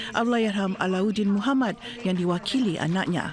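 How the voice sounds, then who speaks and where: At a moderate pace and a fairly high pitch, a woman speaks with ordinary pitch variation over noticeable background noise. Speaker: news reporter. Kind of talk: formal newsreading, a crisp, steady broadcast voice-over. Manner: formal; measured, even-paced and authoritative.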